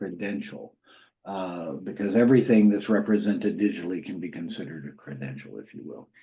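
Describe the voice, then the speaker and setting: Speaking in a Southern US accent, a man uses a fairly low pitch with a dark, mellow tone and ordinary pitch variation. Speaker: university credentials program lead. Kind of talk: webinar Q&A answer. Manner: conversational with frequent fillers.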